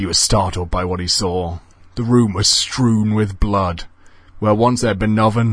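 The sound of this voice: An unforced reading voice moves through ordinary pitch variation here.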